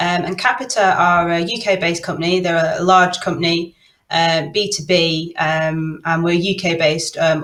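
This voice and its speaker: A woman's fairly low voice with a Manchester accent and fairly even intonation. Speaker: product owner. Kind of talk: panel discussion.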